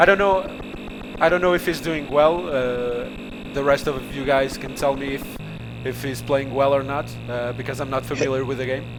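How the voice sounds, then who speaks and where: Amid noticeable background noise and audible room echo, a man with an American accent speaks at medium pitch and a moderate pace with ordinary pitch variation. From Portugal. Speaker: stream host. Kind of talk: casual chat. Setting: live stream. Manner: halting.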